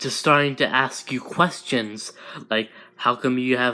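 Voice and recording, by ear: Natural-voiced reading aloud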